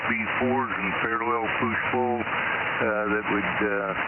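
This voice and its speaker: Noticeable background noise and audible room echo fill the recording. Through it, a man speaks fairly slowly. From US Midwest, northeast Missouri. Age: 70s. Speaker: ham radio operator. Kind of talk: amateur radio on-air interview. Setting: ham radio transmission. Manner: halting, many fillers.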